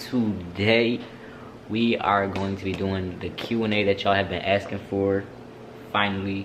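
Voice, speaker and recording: Against audible room echo, a man speaks in a fairly low pitch with monotone, flat intonation. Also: fairly slow pace. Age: 20s. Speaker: vlogger. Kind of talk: casual Q&A vlog.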